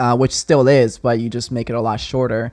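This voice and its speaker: With a strong non-native accent, a man speaks at a medium pitch. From Texas. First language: not English (English is fourth language). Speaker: video agency owner. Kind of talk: podcast interview.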